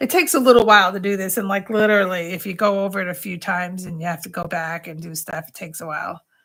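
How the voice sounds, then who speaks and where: Very fast speech in a Long Island accent with hardly any pauses and big swings in loudness, on a very clean recording with a silent background. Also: woman, medium pitch for a woman, ordinary pitch variation. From US Northeast, Long Island, New York. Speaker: craft tutor. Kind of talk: live craft tutorial. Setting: livestream at home. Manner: talkative, constant chatter.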